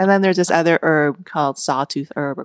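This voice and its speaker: An unremarkable speaking voice with an American accent moves at a fairly quick pace in a very clean, dry, close recording with a silent background and no echo. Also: woman. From Vietnam, raised in the US as a refugee. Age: 40s. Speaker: cookbook author. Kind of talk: interview conversation. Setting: host's home kitchen.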